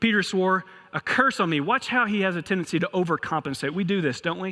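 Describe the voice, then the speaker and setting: With a Kentucky accent, a man talks in a bright, sharp tone with ordinary pitch variation. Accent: Kentucky accent, noticeable. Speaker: pastor. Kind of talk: sermon.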